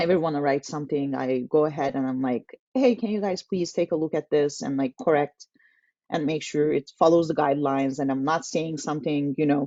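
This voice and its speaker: A woman with a Turkish accent speaks in a very deep, low pitch with ordinary pitch variation. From Turkey. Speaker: tech community manager. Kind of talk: casual interview webinar.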